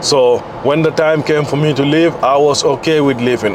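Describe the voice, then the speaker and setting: A man's fairly high voice keeps fairly even intonation while noticeable background noise sounds behind him. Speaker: fitness coach and vlogger. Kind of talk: casual vlog monologue. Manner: unscripted, conversational.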